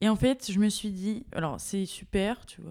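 The woman's voice has a dark, mellow tone. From Paris region, France. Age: 20s. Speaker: art student. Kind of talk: casual chat. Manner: halting.

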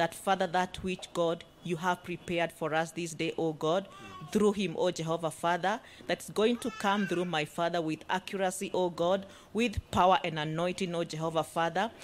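Her pitch fairly low, a woman in a normal speaking voice keeps a moderate pace and fairly even intonation. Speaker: pastor's wife. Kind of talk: greeting and prayer. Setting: church service with congregation. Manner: fervent, repetitive in prayer.

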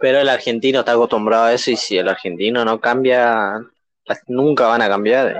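At a fairly quick pace, a man speaks in a plain, everyday voice of medium pitch with fairly even intonation. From Argentina, rural Corrientes. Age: 20s. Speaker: podcast co-host. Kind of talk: casual chat.

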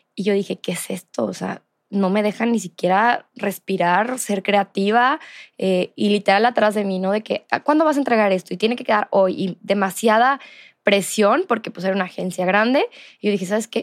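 A woman with a Mexican accent, medium-pitched with ordinary pitch variation, at a moderate pace, with a dry, close sound and no echo. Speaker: podcast host and entrepreneur. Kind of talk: casual interview.

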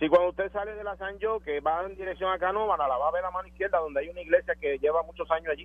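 This man talks at a very fast pace with hardly any pauses, his pitch high with ordinary variation. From Puerto Rico. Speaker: caller. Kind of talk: call-in radio conversation.

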